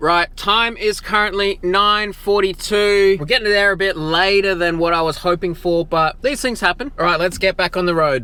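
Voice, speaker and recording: Animated and with an Australian accent, a man talks at a moderate pace in a high, bright, sharp voice. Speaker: theme park vlogger. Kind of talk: travel vlog.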